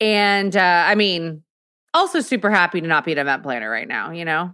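A woman talks at a moderate pace in an unremarkable speaking voice. The recording is very clean, with a silent background. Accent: American. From Texas. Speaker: podcaster and content creator. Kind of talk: casual chat.

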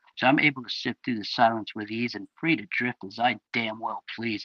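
In an American accent, a bright, sharp voice moves at a moderate pace, with a dry, close sound and no echo. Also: man. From Florida, Orlando. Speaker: spoken word poet. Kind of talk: spoken word poetry performance.

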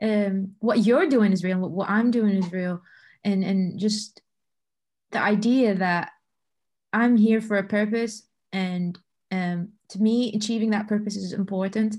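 A woman speaks at a medium pitch in a somewhat breathy voice, with fairly even intonation. She leaves long, frequent pauses over a quiet background. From Bahrain. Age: 20s. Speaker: football data analyst. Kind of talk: podcast interview.

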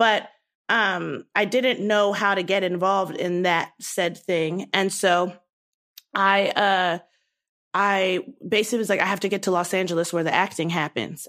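A woman with an unremarkable speaking voice and an American accent talks at a medium pitch and moderate pace with ordinary pitch variation, in a very clean recording with a silent background. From US Mid-Atlantic. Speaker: sketch comedian. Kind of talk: casual interview.

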